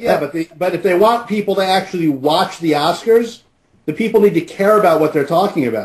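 Quiet background, a man with a high pitch, ordinary pitch variation and a fairly quick pace. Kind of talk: casual chat. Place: studio. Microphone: studio mic.

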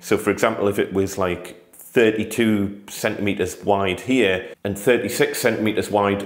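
This is a man with an unremarkable speaking voice and a fairly low pitch. He talks at a moderate pace with fairly even intonation. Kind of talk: tutorial. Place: home room. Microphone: phone near.

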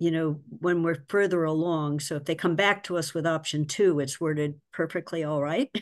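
Fairly even intonation over a quiet background. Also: woman. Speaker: finance committee member. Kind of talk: public committee meeting discussion. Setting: video call. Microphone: video call.

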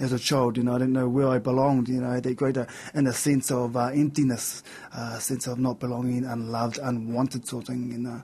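Speaking at a very fast pace, the man keeps a monotone, flat intonation. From New Zealand, central North Island. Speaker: person in addiction and mental health recovery; interview guest. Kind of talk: interview testimony. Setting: radio/TV studio. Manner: halting, many fillers. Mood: reflective, candid about hard past. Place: studio. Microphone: studio mic.

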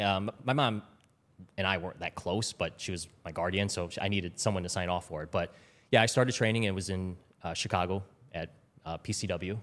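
A man's very deep, low voice at a fairly quick pace with fairly even intonation. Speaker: former Wall Street trader. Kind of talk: casual interview. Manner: repeats words when starting sentences. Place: studio. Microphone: studio mic.

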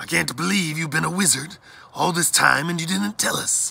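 A man puts on a character voice that sits fairly high in pitch, with a bright, sharp tone, a slightly husky edge and vocal fry, moving at a moderate pace with ordinary pitch variation.

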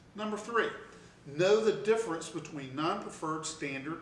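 A man's voice carries audible room echo. Light background noise can be heard. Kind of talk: tutorial. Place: office.

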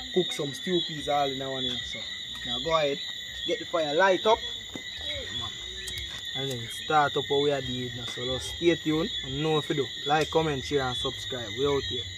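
Against loud background noise, a man speaks at a moderate pace with ordinary pitch variation and long, frequent pauses, the sound dry with no echo. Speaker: channel host. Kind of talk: casual vlog chat. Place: garden.

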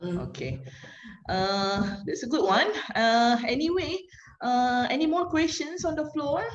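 Using a Malaysian accent, a woman speaks at a high pitch and a fairly slow pace with very wide pitch swings, audible room echo and light background noise. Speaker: moderator. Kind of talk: webinar moderation. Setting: video call. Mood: friendly, polite. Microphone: video call.

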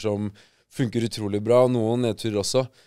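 Against a quiet background, a man with a dark, mellow tone speaks at a fairly quick pace with fairly even intonation. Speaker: podcast co-host. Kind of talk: casual chat. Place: studio. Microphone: studio mic.

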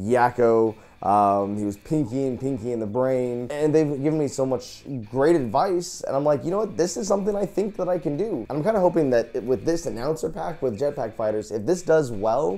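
A man speaks at a moderate pace in an upbeat, enthusiastic tone. His pitch makes very wide swings. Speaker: voice actor, YouTube host. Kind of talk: casual talk to camera. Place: home room. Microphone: lapel.

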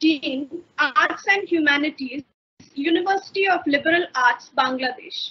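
At a moderate pace, a woman is talking. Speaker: webinar host. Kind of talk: formal welcome address. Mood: polite, formal. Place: home room. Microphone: webcam.

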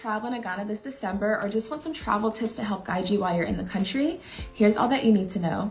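Her voice shows ordinary pitch variation as this woman speaks. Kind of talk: tips tutorial to camera. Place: home room.

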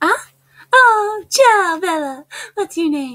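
This put-on character voice is squeaky, with an extremely high pitch. It moves at a very slow pace.

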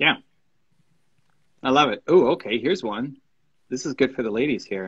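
A man's medium-pitched voice with a slightly husky edge, a fairly bright tone, lively intonation and a moderate pace

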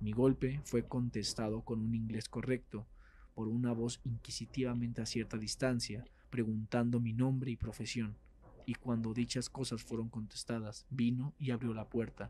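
A man's medium-pitched, dark and mellow voice, monotone and flat in intonation yet dramatic in tone, at a moderate pace. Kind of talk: horror story narration, reading aloud. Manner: formal, dramatic, gloomy storytelling.

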